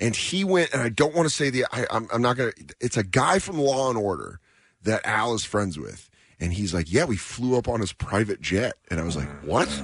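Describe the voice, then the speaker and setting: A man with an American accent, medium pitch, vocal fry, an animated tone, very wide pitch swings and a fairly quick pace. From Aurora, Colorado. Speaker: stand-up comedian. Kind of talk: casual radio interview. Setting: radio studio.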